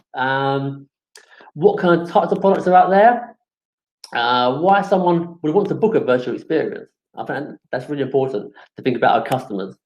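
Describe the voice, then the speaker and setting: A man with a London accent talks at a moderate pace, his high-pitched voice lively in intonation. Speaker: webinar presenter, supplier manager at events marketplace. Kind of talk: webinar presentation. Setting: online webinar. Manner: hesitant, many fillers.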